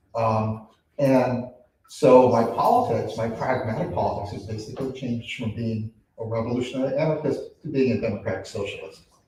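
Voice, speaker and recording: Man at a fairly quick pace with fairly even intonation, in audible room echo. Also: medium pitch for a man. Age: 60s. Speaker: workshop participant, nursing student. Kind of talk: personal testimony.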